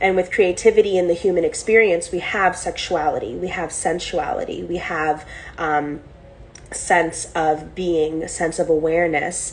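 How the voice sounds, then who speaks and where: A woman with a fairly low pitch speaks at a moderate pace and fairly even intonation. Audible room echo and noticeable background noise are present. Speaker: spiritual teacher. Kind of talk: online class lecture.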